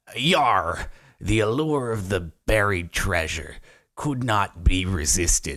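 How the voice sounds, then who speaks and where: Using a put-on character voice, a man delivers his lines at a fairly slow pace. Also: fairly low pitch for a man, very clean recording, silent background. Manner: mock-dramatic, theatrical.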